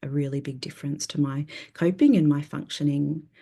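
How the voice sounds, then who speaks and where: With an Australian accent, a woman talks at a moderate pace in a very deep, low pitch with a dark, mellow tone. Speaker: therapist. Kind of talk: conference presentation.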